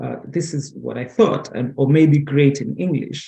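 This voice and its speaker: A man's dark, mellow tone comes out somewhat breathy, with fairly even intonation. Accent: Kenyan. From Kenya. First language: Kikamba. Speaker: conference presenter. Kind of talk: presentation. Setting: webinar. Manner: halting.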